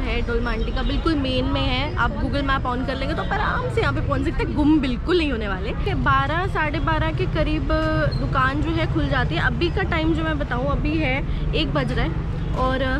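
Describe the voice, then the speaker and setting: Clear music plays in the background as a woman speaks. The sound is dry, with no echo. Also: moderate pace. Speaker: food vlogger host. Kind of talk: casual vlog chat. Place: market. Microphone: phone near.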